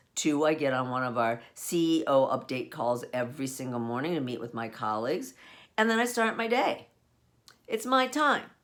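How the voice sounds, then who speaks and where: A woman is speaking. Her pitch swings very widely. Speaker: home-based business owner. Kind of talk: solo monologue.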